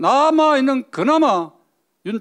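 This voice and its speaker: The recording is very clean, with a silent background. In it, a man's pitch swings very widely. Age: 80s+. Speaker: politician and lawyer. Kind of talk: political speech.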